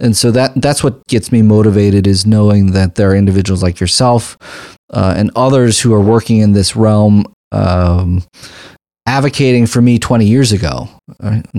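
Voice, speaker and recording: On a very clean recording with a silent background, a man with an unremarkable speaking voice talks at a moderate pace in a fairly low pitch, with ordinary pitch variation and very even loudness. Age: 40s. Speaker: family physician and health care advocate. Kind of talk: interview conversation.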